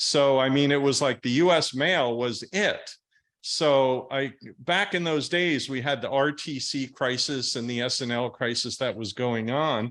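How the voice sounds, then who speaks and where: A man with an American accent has a normal speaking voice, medium pitch and ordinary pitch variation. He speaks at a fairly slow pace on a very clean recording with a silent background. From US Northeast. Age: 60s. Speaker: real estate investor. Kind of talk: podcast interview.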